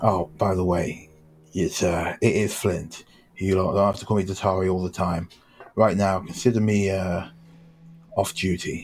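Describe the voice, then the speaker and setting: A man uses a put-on character voice, raspy and very deep, with monotone, flat intonation. He moves at a moderate pace, broken by long, frequent pauses. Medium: actual play. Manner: casual, plain-spoken.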